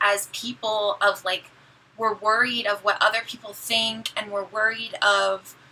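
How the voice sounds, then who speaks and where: Noticeable background noise sits behind a woman's fairly high-pitched voice. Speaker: beauty vlogger. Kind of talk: casual chat. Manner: loud.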